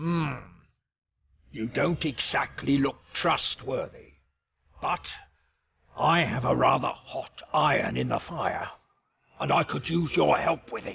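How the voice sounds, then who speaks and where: Using a raspy, put-on character voice at a fairly high pitch, a man talks at a fairly slow pace with long, frequent pauses. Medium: video game. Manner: gruff, blunt.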